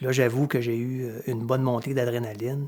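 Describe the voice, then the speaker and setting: At a moderate pace, a man with a medium pitch speaks in a Quebec accent. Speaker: hiker filming his trip. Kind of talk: casual narration. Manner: hesitant, many filler words.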